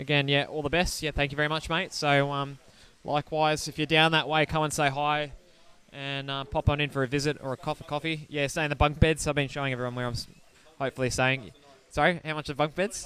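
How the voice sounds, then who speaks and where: The delivery is very fast, in a bright, sharp tone with an Australian accent. The intonation stays monotone and flat. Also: man, fairly high pitch for a man. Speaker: race commentator. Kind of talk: live commentary. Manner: loud.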